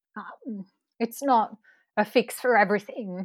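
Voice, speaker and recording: A woman with a fairly high voice and an Australian accent speaks with fairly even intonation. The sound is very clean, dry and close, with a silent background and no echo. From Northern Rivers, New South Wales, Australia. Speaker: researcher and hip-hop performer. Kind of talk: interview. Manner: frequent fillers, hesitant.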